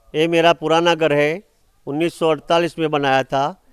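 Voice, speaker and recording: A man speaks with fairly even intonation on a very clean recording, dry and close with no echo and a silent background. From India, Gujarat, Banaskantha. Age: 60s. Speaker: farmer. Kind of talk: farm tour explanation. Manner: halting.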